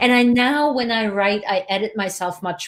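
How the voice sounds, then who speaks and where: A woman with a slight Swiss accent and ordinary pitch variation. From Switzerland. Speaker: video marketing coach, show host. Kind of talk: casual chat. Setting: video call.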